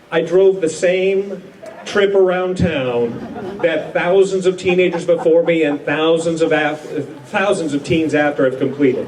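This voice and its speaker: A man with an American accent speaks in a high pitch at very even loudness. Noticeable background noise runs underneath. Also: ordinary pitch variation, fairly slow pace. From North Dakota, USA. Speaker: comedian, former radio disc jockey, TV writer. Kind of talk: humorous reunion speech.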